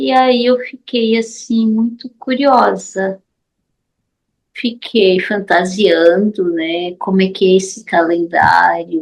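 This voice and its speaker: Her words come at a very slow pace. This woman's pitch is medium. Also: ordinary pitch variation. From Paraíba, Brazil. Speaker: study group participant. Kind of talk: online discussion question.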